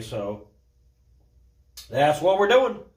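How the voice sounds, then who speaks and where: A man speaks at a moderate pace in a somewhat breathy voice, with audible room echo. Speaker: garage mechanic / DIY builder. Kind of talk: workshop tutorial. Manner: casual, informal.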